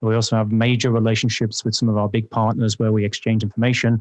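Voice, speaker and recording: A man with an English accent talks at a very fast pace and medium pitch. The background is quiet. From England. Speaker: security vendor executive. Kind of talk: podcast interview.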